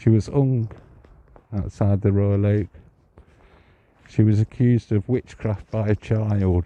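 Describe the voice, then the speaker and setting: Quiet and fairly low in pitch, a man talks with fairly even intonation and long, frequent pauses. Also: fairly slow pace, dry, close sound with no echo. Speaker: psychic medium and ghost walk guide. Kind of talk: live-streamed ghost walk narration. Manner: hushed, kept quiet.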